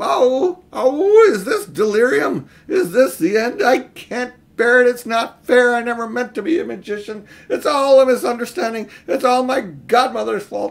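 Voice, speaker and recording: A man performs a put-on character voice at an extremely high pitch. His intonation is lively and his pace moderate. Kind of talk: reading aloud a children's novel, voicing a character. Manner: wailing, panicked.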